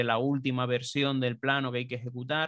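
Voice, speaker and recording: Against a quiet background, a man with a medium pitch speaks at a moderate pace, the sound dry with no echo. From Canary Islands (Tenerife); Canary Islands. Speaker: BIM consultant; interviewee. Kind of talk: interview. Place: home room. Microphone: studio mic.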